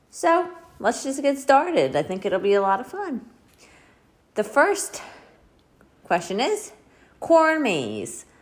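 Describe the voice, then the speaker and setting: A woman at a high pitch with very wide pitch swings, a very slow pace and long, frequent pauses, over noticeable background noise. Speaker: book podcaster. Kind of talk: casual monologue.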